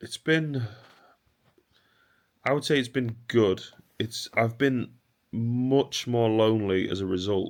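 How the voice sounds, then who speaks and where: The speaker goes at a very slow pace, with ordinary pitch variation and long, frequent pauses. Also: man, medium pitch for a man. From northern England, Warrington. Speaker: vlogger and musician (drummer). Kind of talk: casual vlog monologue.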